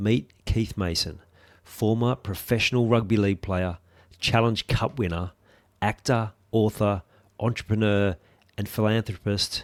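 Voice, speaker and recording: A man's fairly low-pitched voice at a fairly slow pace, fairly even in intonation, with long, frequent pauses, in a very clean recording with a silent background. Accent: Australian. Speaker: podcast host. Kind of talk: scripted intro.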